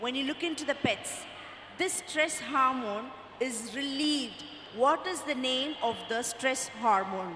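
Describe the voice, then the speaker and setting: Through audible room echo and light background noise, a woman with a high pitch speaks at a fairly slow pace. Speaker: teacher or event host. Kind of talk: speech to an audience of parents. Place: stage. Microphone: handheld.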